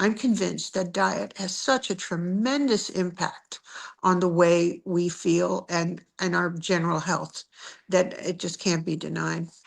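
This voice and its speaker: Against a quiet background, a woman uses vocal fry at a medium pitch and a fairly slow pace. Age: 70s. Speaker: diet success story guest. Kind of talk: interview testimony.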